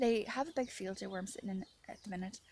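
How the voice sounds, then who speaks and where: A woman's somewhat breathy voice at medium pitch and a very fast pace. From Ireland. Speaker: author and video diarist. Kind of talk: casual monologue vlog.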